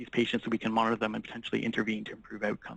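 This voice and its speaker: A man speaks with a Canadian accent. His voice is at a medium pitch. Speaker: physician specialist. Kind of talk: lecture. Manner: fast; hesitant with fillers.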